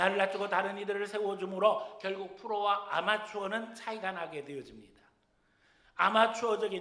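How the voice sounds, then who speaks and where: A man's high-pitched, raised and projected voice at a fairly quick pace, with audible room echo. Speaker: senior pastor. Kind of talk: sermon. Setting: church.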